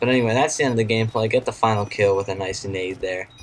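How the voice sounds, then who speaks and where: A man with a fairly low voice talks at a very fast pace in fairly even intonation over noticeable background noise. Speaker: gaming YouTuber. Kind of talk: gameplay commentary. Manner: quiet, subdued.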